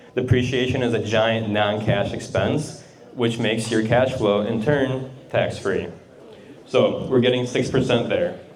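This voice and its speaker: Speaking fairly slowly in a flat monotone, a man with a medium-pitched voice is heard over noticeable background noise and audible room echo. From Russia. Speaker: real estate investor and accountant. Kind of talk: presentation to a group. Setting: garage talk with audience. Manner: casual, uses fillers.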